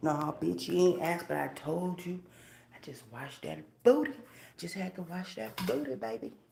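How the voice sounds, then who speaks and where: Audible room echo surrounds a woman as she talks. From Atlanta, Georgia. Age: 30s. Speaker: live streamer. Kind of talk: casual chat.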